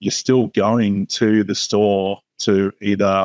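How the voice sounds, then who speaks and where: The speech comes at a very slow pace in an Australian accent, with a dry, close sound with no echo. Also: man. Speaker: retail media executive. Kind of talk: interview. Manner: many fillers, hesitant.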